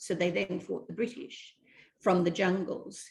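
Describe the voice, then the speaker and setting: A woman speaks in a somewhat breathy voice. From Malaysia. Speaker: actress and script writer. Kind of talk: interview.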